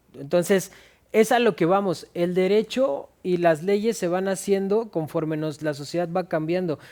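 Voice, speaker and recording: Speaking at a fairly slow pace with a Mexican accent, a man with a high pitch and a dark, mellow tone shows ordinary pitch variation in a very clean recording with a silent background. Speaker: lawyer co-host. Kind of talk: casual legal discussion.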